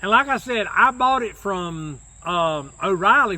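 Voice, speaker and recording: In a North Carolina accent, a man talks in a raised, projected voice. His pace is fairly slow and his intonation lively. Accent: Southern US (North Carolina). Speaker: YouTuber. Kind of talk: casual chat.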